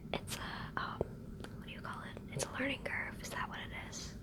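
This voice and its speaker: Against noticeable background noise, a woman is whispering. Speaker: ASMR creator. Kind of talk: ASMR show-and-tell talk to camera. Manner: whispered, soft.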